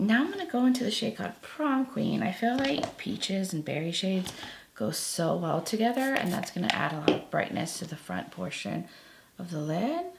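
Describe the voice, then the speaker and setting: Over noticeable background noise, a woman speaks at a moderate pace and medium pitch, her voice moving through very wide pitch swings. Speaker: beauty youtuber. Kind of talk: makeup tutorial. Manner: casual, chatty.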